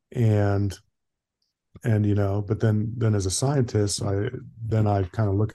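Against a quiet background, a man with a fairly low pitch and a dark, mellow, somewhat breathy tone speaks at a fairly slow pace in a monotone, flat delivery. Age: 60s. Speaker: emergency physician and masters cyclist. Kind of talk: casual interview.

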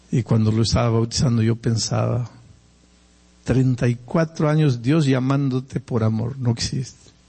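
A somewhat breathy man at a fairly slow pace with ordinary pitch variation. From Peruvian Andes. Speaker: pastor. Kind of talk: sermon. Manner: conversational.

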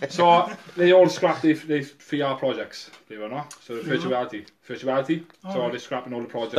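The speaker's loudness swings widely while the pitch varies in an ordinary way. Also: man, fairly high pitch for a man. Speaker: podcast co-host. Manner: fast talker.

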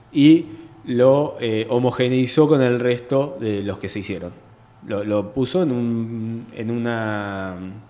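A man talks at a very slow pace, his pitch variation ordinary. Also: medium pitch for a man. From Argentina, Buenos Aires province (Chacabuco). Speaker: architect, urban planner. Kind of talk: radio interview. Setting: radio studio.

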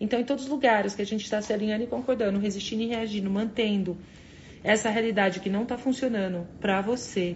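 Very fast, somewhat breathy speech. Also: woman. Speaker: spiritual coach leading a morning live session. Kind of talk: motivational live stream. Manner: animated.

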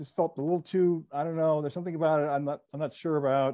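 Very fast, a man speaks in a dark, mellow tone. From New Jersey. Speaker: TV comedy writer and producer. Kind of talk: interview.

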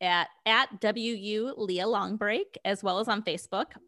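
A woman speaks in a bright, sharp tone with an American accent. The recording is very clean, with a silent background. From Cleveland, Ohio. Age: 30s. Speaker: podcast producer and host. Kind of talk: casual chat.

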